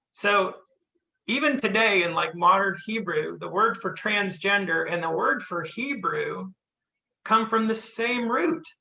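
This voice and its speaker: A man with a Southern US accent speaks in a raised, projected voice at a high pitch and a fairly slow pace. His tone is bright and sharp, with lively intonation. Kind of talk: testimony. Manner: casual, halting with fillers.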